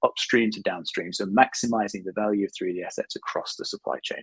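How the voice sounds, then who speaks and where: Someone with a British accent talks very fast, and the sound is dry and close with no echo. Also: man. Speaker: editor and conference presenter. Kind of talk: conference presentation.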